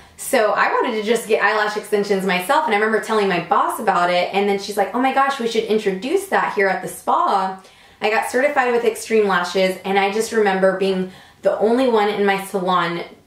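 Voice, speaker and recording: In an animated tone, a woman with a medium-pitched voice and ordinary pitch variation talks at a fairly quick pace, with audible room echo. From Puerto Rico. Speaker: beauty salon owner and vlogger. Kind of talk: casual vlog storytelling. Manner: loud.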